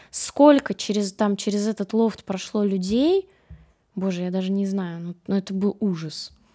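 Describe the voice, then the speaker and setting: On a very clean recording with a silent background, a woman speaks at a fairly slow pace in a medium pitch, her dark, mellow tone showing ordinary pitch variation. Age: young. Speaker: food blogger. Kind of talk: casual chat. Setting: studio.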